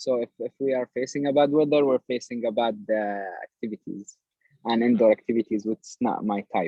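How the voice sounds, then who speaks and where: With an Arabic accent, a man of medium pitch speaks with fairly even intonation and big swings in loudness. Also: fairly quick pace. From Palestine. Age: 20s. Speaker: project manager. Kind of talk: research interview. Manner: halting, many repetitions.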